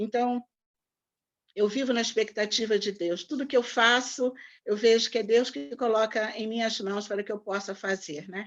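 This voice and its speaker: A woman with a plain, everyday voice, fairly high in pitch, at a moderate pace with ordinary pitch variation, against a quiet background. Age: 60s. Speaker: pastor. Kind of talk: online talk. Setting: video call.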